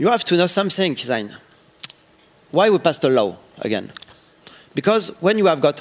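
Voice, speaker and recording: A high-pitched man's voice with a French accent at a moderate pace, long, frequent pauses, very wide pitch swings and very even loudness. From France. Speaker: city councillor, politician. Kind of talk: panel interview on stage. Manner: halting, searching for English words.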